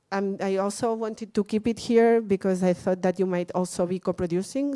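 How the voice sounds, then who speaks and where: A woman with a Catalan accent and a dark, mellow tone, at a fairly quick pace. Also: very clean recording, silent background. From Catalonia, Spain. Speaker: workshop speaker on film festivals. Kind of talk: lecture. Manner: halting, many fillers and repeats.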